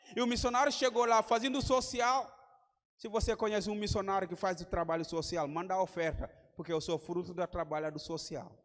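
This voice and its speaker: In a West African accent, a man talks at a moderate pace. His pitch is high, with ordinary variation. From Gambia. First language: Mandinka or another Gambian language (speaking Portuguese). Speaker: missionary preacher. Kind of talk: sermon. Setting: church conference with congregation.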